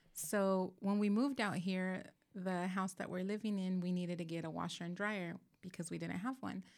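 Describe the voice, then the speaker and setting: At a medium speed, a woman uses an ordinary speaking voice, her pitch mid-range and her intonation mostly level. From Southern California. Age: 40s. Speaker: church small group leader. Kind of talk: casual chat.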